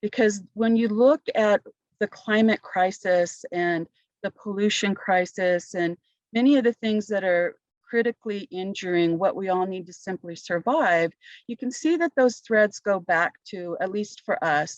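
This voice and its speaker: A woman with an ordinary speaking voice talks fairly slowly at a medium pitch with lively intonation, the sound dry and close with no echo. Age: 60s. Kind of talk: panel discussion, personal testimony.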